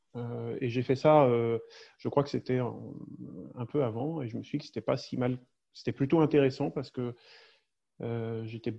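At a moderate pace, a man speaks at a medium pitch with fairly even intonation. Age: 40s. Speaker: safety consultant and small-town mayor. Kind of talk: interview. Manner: halting, many repetitions and hesitations.

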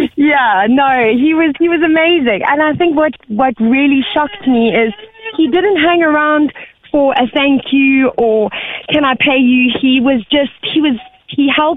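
A woman speaks at a moderate pace with a high pitch, lively intonation and very even loudness over noticeable background noise. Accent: South African. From South Africa. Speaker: caller. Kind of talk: casual chat.

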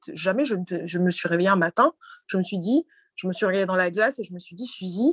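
In a normal speaking voice, a woman talks at a fairly quick pace with a medium pitch and ordinary pitch variation, the sound dry and close with no echo and the background quiet. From France, Normandy (Cameroonian heritage). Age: young. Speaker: bank deputy director. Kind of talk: casual interview. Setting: video call.

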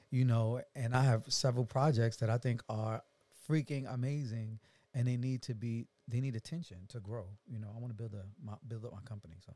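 A man's somewhat breathy, dark, mellow voice at a medium pitch, with ordinary pitch variation and big swings in loudness, in a very clean recording with a silent background. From New York, Brooklyn. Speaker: singer and reality TV personality. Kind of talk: casual interview chat.

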